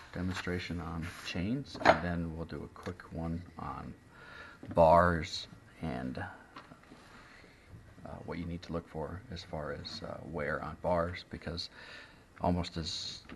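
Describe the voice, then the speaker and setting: Soft-spoken and relaxed, a man with a very deep, low pitch talks at a very slow pace with big swings in loudness. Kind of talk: instructional tutorial explanation. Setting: indoors, close to the microphone, ASMR-style recording. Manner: soft-spoken, relaxed.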